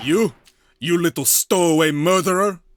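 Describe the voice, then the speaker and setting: A man puts on a character voice with a Russian accent, pitched high. He speaks at a moderate pace. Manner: accusatory.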